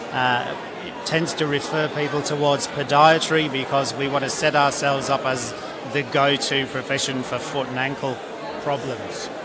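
A man speaks at a fairly high pitch and moderate pace in a monotone, flat intonation. Noticeable background noise is present. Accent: Australian. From UK, lives in Australia. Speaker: podiatrist.

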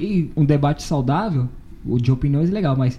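A man speaks in a dark, mellow tone, somewhat breathy, with ordinary pitch variation. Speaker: podcast host. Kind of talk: casual chat.

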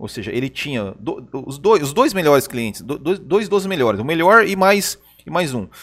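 The recording is very clean and the background silent. A man talks with very wide swings in pitch. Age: 30s. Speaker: podcast co-host and commentator, former sales representative. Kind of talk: casual chat. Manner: halting, frequent repetitions.

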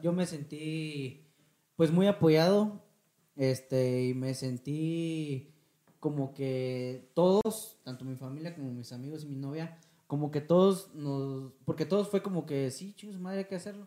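Speaking very slowly with a Mexican accent, a man uses a fairly high pitch and ordinary pitch variation. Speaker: podcast co-host. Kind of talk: casual chat.

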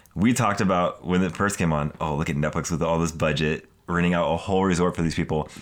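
A man with a very deep, low voice at a very fast pace. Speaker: podcast co-host. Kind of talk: casual chat. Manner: mumbling more than usual.

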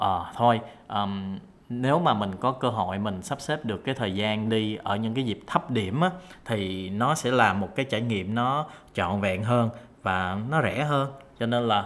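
A man speaks fairly slowly at a medium pitch with a Southern Vietnamese accent and ordinary pitch variation. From Saigon, southern Vietnam. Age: 30s. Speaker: podcaster. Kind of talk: solo monologue podcast. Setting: home room recording.

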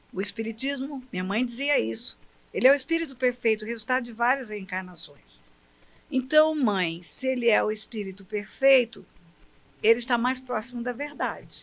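Ordinary pitch variation shapes a woman's high-pitched voice. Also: moderate pace. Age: 70s. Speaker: pastor and federal judge. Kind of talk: interview about religion.

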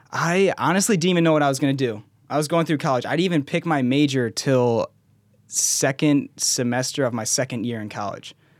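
A man with an American accent speaks in a normal speaking voice at a fairly high pitch. His pace is fairly quick, with ordinary pitch variation. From US Midwest, Wisconsin. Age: 20s. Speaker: food content creator. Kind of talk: casual interview.

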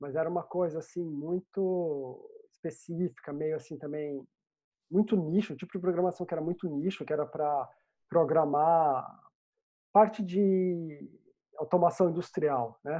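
A woman speaks at a fairly slow pace in an unremarkable speaking voice. Her pitch sits fairly low and her intonation stays fairly even. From Brazil, Vale do Paraíba (Pindamonhangaba). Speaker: software developer. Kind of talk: interview.

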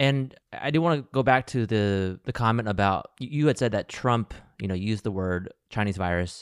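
In a very clean recording with a silent background and a dry, close sound with no echo, a man with an American accent uses an ordinary speaking voice at medium pitch with lively intonation. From US Midwest and South (Ohio, Alabama). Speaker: podcast host. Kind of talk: podcast interview; scripted narration.

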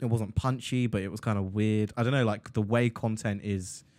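A man in an English accent speaks at a fairly quick pace and fairly low pitch. His intonation is fairly even, and the recording is very clean with a silent background. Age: 20s. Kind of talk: casual chat.

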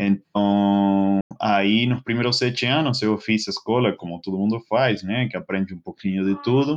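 A man with an Argentine accent speaks at a fairly low pitch with ordinary pitch variation and hardly any pauses. Music plays in the background, and the sound is dry and close, with no echo. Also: moderate pace. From Argentina, Greater Buenos Aires. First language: Spanish (speaking Portuguese). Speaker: mechanical engineer and bartender. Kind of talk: casual interview chat. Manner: halting.

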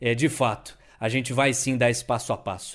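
The background is silent in this very clean recording. A man delivers his words at a fairly quick pace. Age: 20s. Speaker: podcast host, journalist. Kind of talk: casual chat. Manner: animated.

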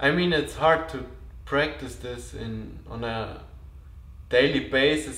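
Audible room echo around a man's fairly slow speech. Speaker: podcast host. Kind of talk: spiritual monologue.

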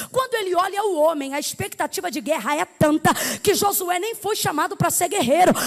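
An animated woman's voice, extremely high in pitch, at a fairly quick pace. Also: lively intonation. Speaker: preacher. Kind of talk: sermon. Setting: church.

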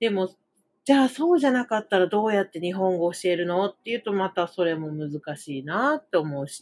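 Lively intonation and big swings in loudness mark this woman's medium-pitched voice. The sound is dry and close, with no echo. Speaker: Japanese language teacher, podcaster. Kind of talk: casual monologue lesson podcast. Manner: rambling, frequent fillers and self-corrections.

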